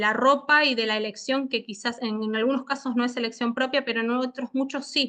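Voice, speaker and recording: A woman's high-pitched voice with a bright, sharp tone and fairly even intonation, against a quiet background. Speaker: lecturer on international criminal law. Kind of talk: online seminar lecture. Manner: halting, many fillers and repetitions.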